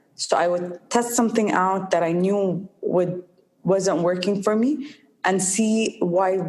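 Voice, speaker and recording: At a very slow pace, a woman of medium pitch speaks with ordinary pitch variation. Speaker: social entrepreneur. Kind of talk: interview. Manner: halting.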